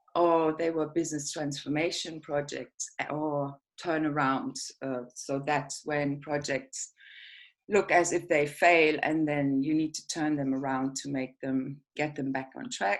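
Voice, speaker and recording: At a fairly slow pace, a woman with a German accent speaks in a very deep, low voice with fairly even intonation, on a very clean recording with a silent background. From Germany. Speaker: project manager. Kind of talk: presentation.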